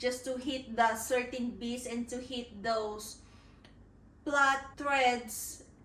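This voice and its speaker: Through audible room echo, a woman speaks at a very slow pace in a high pitch with fairly even intonation. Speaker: author vlogger. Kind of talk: casual vlog talk to camera.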